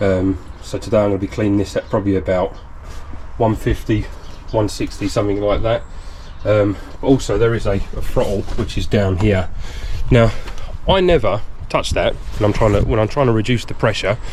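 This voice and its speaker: A man at a fairly quick pace, with long, frequent pauses and noticeable background noise. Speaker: pressure washing business owner. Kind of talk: vlog tutorial. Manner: hesitant with fillers.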